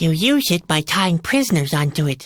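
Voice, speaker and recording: In a put-on character voice, a female-sounding speaker holds a middle pitch. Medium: video game. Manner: dry, sardonic.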